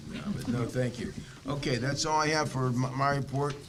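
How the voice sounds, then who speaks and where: Recorded with audible room echo and noticeable background noise, a man with an American accent talks at a fairly quick pace with fairly even intonation. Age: 80s+. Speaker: school board member chairing meeting. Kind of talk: public meeting. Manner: halting, many fillers.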